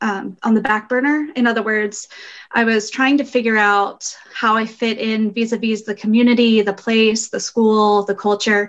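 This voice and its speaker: A woman with an American accent at a moderate pace, in a monotone, flat intonation. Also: fairly high pitch for a woman. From grew up abroad in six countries as US diplomat child. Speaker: intercultural training consultant. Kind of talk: interview. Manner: halting, many fillers.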